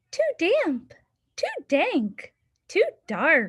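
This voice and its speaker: A woman performs a put-on character voice. It is squeaky and extremely high-pitched. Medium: read story.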